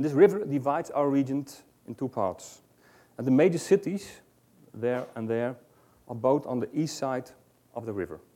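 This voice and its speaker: A man with a Dutch accent speaks at medium pitch in a dark, mellow tone, leaving long, frequent pauses. The recording is very clean, with a silent background. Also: lively intonation, moderate pace. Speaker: ambulance service researcher. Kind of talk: conference presentation read from script. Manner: halting.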